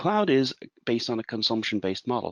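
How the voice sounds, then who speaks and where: A man speaks at a fairly quick pace with an Irish accent. The sound is dry and close with no echo, over a quiet background. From Ireland. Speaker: IT consultant. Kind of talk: webinar presentation.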